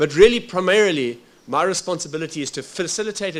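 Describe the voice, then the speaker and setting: A very fast delivery in a South African accent. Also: man. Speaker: workshop facilitator. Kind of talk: formal workshop address. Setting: workshop with audience. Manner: halting, with frequent fillers.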